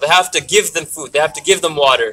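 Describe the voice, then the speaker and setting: At a fairly quick pace, the voice moves through ordinary shifts in pitch. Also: man. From Canada. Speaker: student activist. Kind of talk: rally speech. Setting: outdoors rally with crowd. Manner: earnest, emotional, halting; impassioned, pleading. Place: street.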